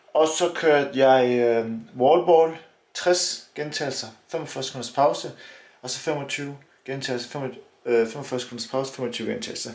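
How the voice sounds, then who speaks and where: Big swings in loudness mark a man's fairly high-pitched speech, delivered with ordinary pitch variation. His pace is moderate, and audible room echo is present. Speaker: fitness vlogger and Hyrox athlete. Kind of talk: casual vlog. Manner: animated.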